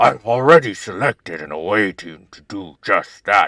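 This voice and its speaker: Using a put-on character voice, a man speaks fairly slowly at a fairly low pitch with lively intonation over faint music in the background. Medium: game stream. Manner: formal, clipped, commanding.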